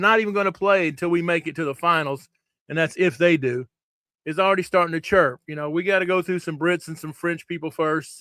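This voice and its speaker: A man with an American accent speaks fairly quickly in a high, bright, sharp voice, recorded very cleanly against a silent background with a dry, close sound with no echo. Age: 60s. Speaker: paintball show host. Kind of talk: casual live-stream chat. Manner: animated, conversational.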